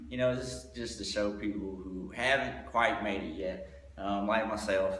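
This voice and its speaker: With an Alabama accent, a man speaks at a moderate pace in a fairly low pitch with lively intonation, with audible room echo and noticeable background noise. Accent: Alabama Southern. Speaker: comedian. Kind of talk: casual chat.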